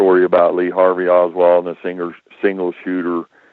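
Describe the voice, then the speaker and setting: The pitch of this man's voice is very deep and low. His delivery is moderately paced. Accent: American. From United States. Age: 60s. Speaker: whistleblower. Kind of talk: roundtable discussion.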